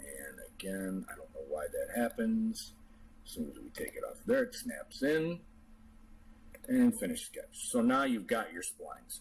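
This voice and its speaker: A man talks at a fairly slow pace, his loudness swinging widely. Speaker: CAD tutorial maker, RC model builder. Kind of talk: software tutorial. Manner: casual, with fillers.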